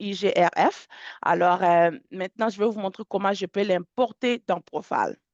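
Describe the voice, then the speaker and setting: Recorded dry and close with no echo against a quiet background, the speech moves at a fairly slow pace with ordinary pitch variation. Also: woman. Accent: English. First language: English (speaking French). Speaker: software product specialist. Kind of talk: webinar software demonstration. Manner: halting, many fillers and repetitions.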